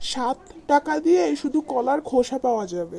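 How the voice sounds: A cartoonish character voice comes through at a high pitch and a fairly slow pace.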